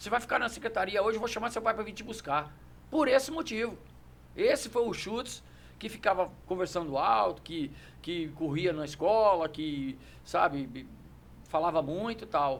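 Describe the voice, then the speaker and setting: This man has a high pitch that moves in very wide swings. He leaves long, frequent pauses. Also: moderate pace. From Brazil, Brasília area (Sobradinho). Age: 60s. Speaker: judo master and champion. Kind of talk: podcast interview. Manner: hesitant, repeats words.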